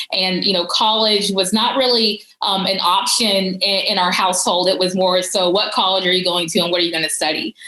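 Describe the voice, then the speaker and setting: A woman with an American accent, medium pitch and fairly even intonation, fairly quick with hardly any pauses and very even loudness, over noticeable background noise. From US South, Georgia. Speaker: policy advisor. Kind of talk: conference talk. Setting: virtual conference. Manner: casual, many fillers.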